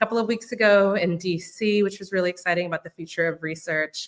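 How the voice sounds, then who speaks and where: A woman with an American accent speaks in an unremarkable speaking voice at a medium pitch and a fairly quick pace. Her pitch varies in an ordinary way, and the sound is dry and close with no echo. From US South, New Orleans, Louisiana. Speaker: youth nonprofit founder and researcher. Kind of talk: online panel conversation.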